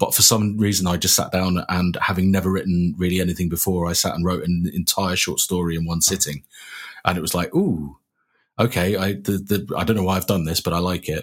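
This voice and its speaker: Over a very clean recording with a silent background, a man speaks at a fairly quick pace in a monotone, flat intonation with a very deep, low pitch. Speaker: writer. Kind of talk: interview. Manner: confident.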